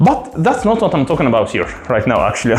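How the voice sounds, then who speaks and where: A man with a non-native accent talks over music in the background, with audible room echo. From Egypt. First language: Arabic. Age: 30s. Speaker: gaming streamer. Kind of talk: casual rant. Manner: halting, many fillers.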